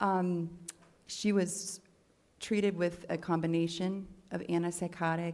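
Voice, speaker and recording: The speech has a monotone, flat intonation, with audible room echo around it. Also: woman. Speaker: expert witness, doctor. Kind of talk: court testimony. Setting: courtroom.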